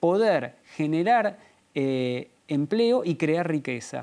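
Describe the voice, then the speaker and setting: A man with an Argentine accent and very wide pitch swings. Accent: Rioplatense Argentine Spanish. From Argentina. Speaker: author and policy analyst; interview guest. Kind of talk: interview; interview answer. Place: studio. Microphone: lapel.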